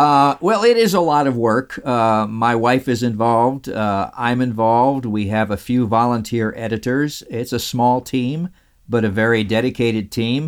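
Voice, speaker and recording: An ordinary speaking voice with an American accent and ordinary pitch variation, with hardly any pauses. The recording is very clean, with a silent background. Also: man, medium pitch for a man, moderate pace. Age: 60s. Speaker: radio host and interviewee.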